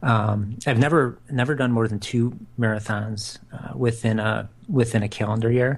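A somewhat breathy man's voice at medium pitch, with fairly even intonation. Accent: American. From US Midwest, Chicago south suburbs. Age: 40s. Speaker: podcast co-host, amateur marathon runner. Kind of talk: casual chat.

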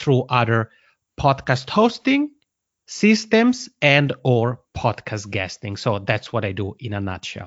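At a fairly slow pace, a man with an Italian accent talks at a medium pitch. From Italian-speaking Switzerland. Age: 30s. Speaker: podcasting consultant. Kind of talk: casual interview.

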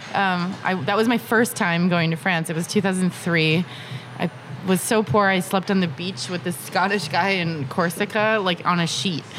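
A woman talks with an American accent and ordinary pitch variation. Noticeable background noise can be heard. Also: medium pitch for a woman, moderate pace. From Massachusetts, US. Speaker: wine entrepreneur. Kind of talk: casual interview.

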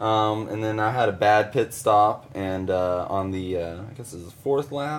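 With a Texan accent, this speaker keeps a moderate pace and lively intonation. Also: man. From Texas, Weatherford. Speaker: pro dirt bike racer. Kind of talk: casual chat.

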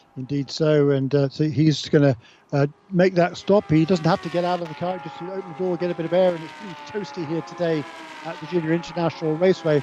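Over noticeable background noise, a man talks at a very fast pace in a fairly high pitch, with an energetic tone and big swings in loudness. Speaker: race commentator. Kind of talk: live race commentary. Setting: trackside at race. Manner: fluent, energetic co-commentator analysis.

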